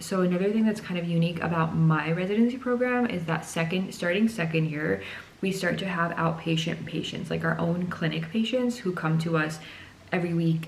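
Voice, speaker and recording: A woman speaks with a fairly low pitch. Noticeable background noise and audible room echo surround her voice. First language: not English. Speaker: psychiatry resident doctor. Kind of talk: casual explainer vlog.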